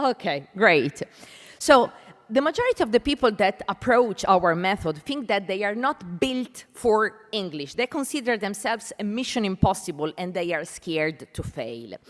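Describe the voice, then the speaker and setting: A woman at medium pitch with an Italian accent, moderate pace and very wide pitch swings. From Italy. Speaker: panel moderator, English language educator. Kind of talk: conference panel introduction.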